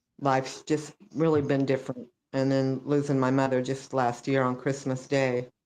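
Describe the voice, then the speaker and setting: The speaker talks in an American accent at a fairly slow pace, with monotone, flat intonation and very even loudness. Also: woman. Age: 70s. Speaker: wrestling family member, interview guest. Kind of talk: casual interview conversation.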